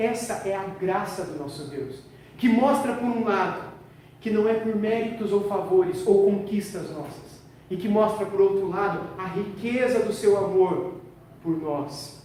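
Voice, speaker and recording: A man with a high voice talks at a fairly slow pace, his loudness swinging widely. Noticeable background noise and audible room echo are present. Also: ordinary pitch variation. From Brazil. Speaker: pastor. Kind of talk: sermon. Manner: animated.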